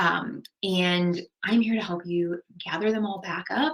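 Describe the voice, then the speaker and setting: A woman speaks in an American accent. Her voice is fairly low, with ordinary pitch variation. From Long Island, New York. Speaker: marketing conference presenter. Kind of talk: recorded conference presentation. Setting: pre-recorded remote presentation. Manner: casual, conversational with frequent fillers.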